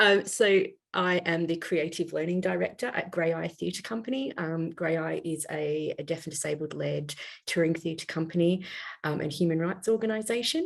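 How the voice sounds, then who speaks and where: A woman speaks at a moderate pace with a fairly low pitch. Her voice shows vocal fry and ordinary pitch variation. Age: 40s. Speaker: theatre learning director. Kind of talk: panel discussion.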